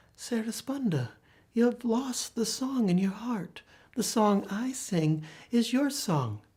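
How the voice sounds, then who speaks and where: In a put-on character voice, a female-sounding speaker talks at a fairly slow pace with a fairly high pitch. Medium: read story.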